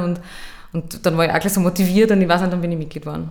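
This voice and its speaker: A woman speaks with an Austrian accent at a fairly low pitch. Her intonation is monotone and flat, and room echo is audible. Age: 20s. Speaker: youth politician. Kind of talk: interview.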